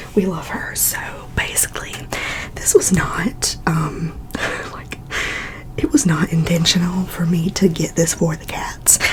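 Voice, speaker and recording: A woman whispers at a fairly slow pace, pausing long and often, with noticeable background noise behind her. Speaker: ASMR YouTuber and cat owner. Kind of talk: ASMR whispered chatty product haul. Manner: whispered, relaxing, chatty.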